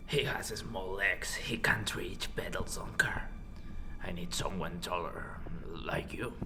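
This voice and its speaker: Whispering in a put-on character voice at a fairly slow pace, the speaker is heard over loud background noise. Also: man. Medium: comedy sketch. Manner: halting, broken English, hesitant.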